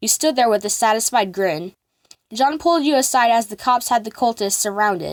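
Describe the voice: A quiet background behind plain reading aloud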